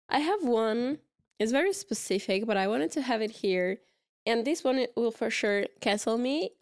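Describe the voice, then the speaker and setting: With a Portuguese accent, a woman speaks at a moderate pace and fairly high pitch, her intonation lively and her loudness very even, on a very clean recording with a silent background. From Portugal, Porto. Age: 30s. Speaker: podcast co-host. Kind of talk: casual chat.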